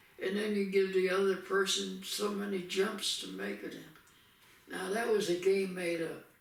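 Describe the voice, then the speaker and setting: Through noticeable background noise, a man with an American accent speaks at a moderate pace in a high, monotone voice with flat intonation. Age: 80s+. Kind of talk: casual conversation, recalling childhood.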